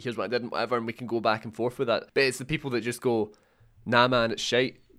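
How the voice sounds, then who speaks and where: A man with a Scottish accent at a very fast pace, medium pitch and monotone, flat intonation, on a very clean recording with a silent background. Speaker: games journalist. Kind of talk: casual chat.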